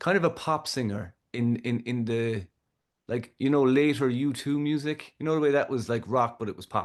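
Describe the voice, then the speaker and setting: Against a quiet background, a man with a Kerry accent talks at a moderate pace. His pitch is medium, with ordinary variation. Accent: Irish, Kerry. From Ireland. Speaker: musician, audio engineer. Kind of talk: podcast interview answer. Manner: relaxed, conversational.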